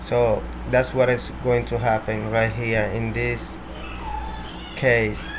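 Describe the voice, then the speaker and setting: A man talks amid noticeable background noise, with the room's echo also audible. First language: Spanish. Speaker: programming tutorial creator. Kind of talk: tutorial. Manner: halting, with repetitions.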